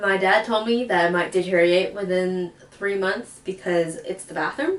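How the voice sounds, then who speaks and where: The speaker here is a woman. Noticeable background noise can be heard as she talks. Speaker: DIY video creator. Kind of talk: casual tutorial voiceover. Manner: casual, filler words.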